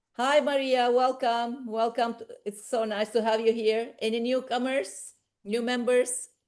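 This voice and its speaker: A woman speaks in a high pitch. Her intonation is monotone and flat over a quiet background. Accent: non-native. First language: not English. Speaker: professor and medical society official. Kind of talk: online meeting moderation. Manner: halting.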